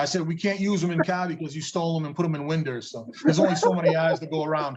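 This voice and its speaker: A man with a slight New England accent, a fairly high pitch, fairly even intonation and a very fast pace. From New England, Massachusetts. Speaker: drag racing promoter. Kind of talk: casual interview chat.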